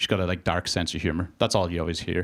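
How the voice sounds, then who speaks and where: On a very clean recording with a silent background, a man with a Northern Irish accent talks at a very fast pace. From Northern Ireland, border area. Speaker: stand-up comedian. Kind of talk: stand-up. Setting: stage with audience. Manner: casual, conversational with filler words.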